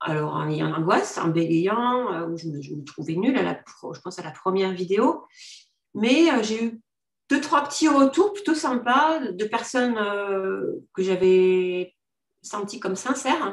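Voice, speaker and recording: At a fairly slow pace, a woman with a medium pitch makes very wide pitch swings and big swings in loudness. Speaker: life coach and business owner. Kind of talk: testimonial interview. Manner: halting.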